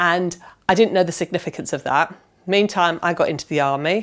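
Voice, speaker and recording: This woman has an ordinary speaking voice, fairly low in pitch with fairly even intonation. The recording is very clean, with a silent background. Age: 50s. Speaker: patient with lupus, former army nurse. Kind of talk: personal testimony.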